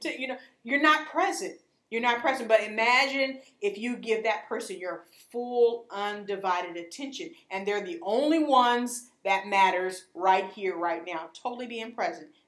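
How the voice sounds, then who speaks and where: A woman's fairly high voice at a moderate pace, with lively intonation and big swings in loudness. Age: 40s. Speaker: author and parent educator. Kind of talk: casual interview. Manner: animated.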